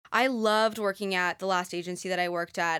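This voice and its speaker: A woman's normal speaking voice, fairly low in pitch and fairly quick, in a very clean recording with a silent background. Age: 20s. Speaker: company founder. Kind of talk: interview.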